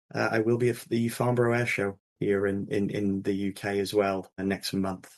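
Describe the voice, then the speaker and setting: A man's fairly low voice with an American accent, at a moderate pace, monotone and flat. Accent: English, fading toward American. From England. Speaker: investment banker. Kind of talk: podcast interview. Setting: remote call. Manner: repetitive stammering restarts.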